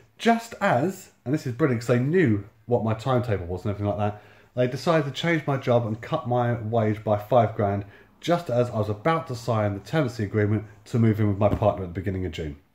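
A somewhat breathy man talks at a very fast pace with lively intonation. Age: 30s. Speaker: YouTuber and homeless-sector housing worker. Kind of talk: casual storytelling monologue. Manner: halting, many fillers. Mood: wry, exasperated storytelling. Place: home room. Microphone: phone near.

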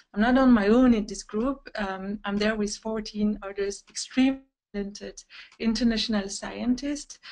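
Against a quiet background, a woman with a French accent speaks at a moderate pace with fairly even intonation. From Belgium. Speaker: webinar moderator and scientist. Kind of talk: webinar moderation. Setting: video call. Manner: hesitant, many fillers. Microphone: video call.

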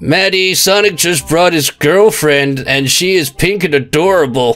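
Putting on a high-pitched character voice, a man speaks at a moderate pace. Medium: virtual streamer. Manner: cocky, casual.

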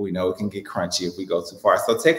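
A man with an American accent speaks against a quiet background, with audible room echo. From Chicago. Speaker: hairstylist and salon owner; hair stylist educator. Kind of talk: tutorial. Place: studio.

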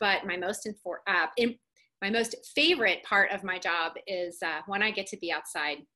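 Against a quiet background, a woman talks at a moderate pace in a bright, sharp tone with ordinary pitch variation. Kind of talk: webinar presentation. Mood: warm, friendly. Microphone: webcam.

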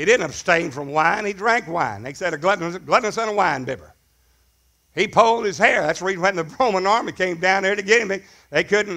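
A man's high-pitched, raised, projected voice with a bright, sharp tone at a fairly quick pace against a quiet background. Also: ordinary pitch variation. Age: 60s. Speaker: pastor. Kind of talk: sermon. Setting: church. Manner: animated. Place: church. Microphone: headset.

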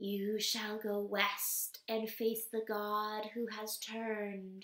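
A woman uses a put-on character voice at a fairly high pitch. She speaks at a very slow pace with monotone, flat intonation.

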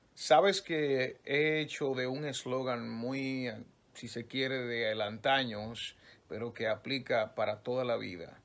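His pace is very slow. The man's pitch shows ordinary variation. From Dominican Republic. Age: young. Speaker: radio news announcer. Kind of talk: interview answer. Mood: relaxed, lightly joking. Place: home room. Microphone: phone near.

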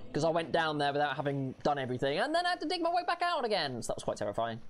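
Noticeable noise surrounds words delivered very fast. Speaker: gaming streamer. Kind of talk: let's play commentary. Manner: animated.

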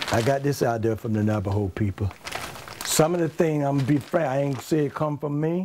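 There is noticeable background noise behind this man's voice. He talks at a moderate pace with lively intonation and a medium pitch. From US South, Georgia near Atlanta. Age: 70s. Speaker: craftsman and subject of documentary. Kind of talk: documentary interview.

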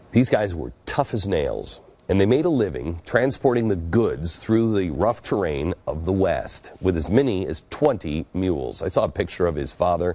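His tone dark and mellow, a man talks at a moderate pace and fairly low pitch with hardly any pauses, his pitch swinging very widely. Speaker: TV show host. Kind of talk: storytelling monologue. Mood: earnest, reflective storytelling. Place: studio. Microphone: lapel.

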